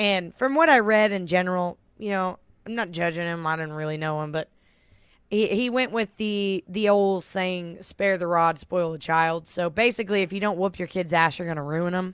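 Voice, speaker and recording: With a medium pitch and ordinary pitch variation, a woman talks at a moderate pace. The recording is very clean, the background silent. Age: 20s. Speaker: podcast co-host. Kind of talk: casual chat; reading aloud.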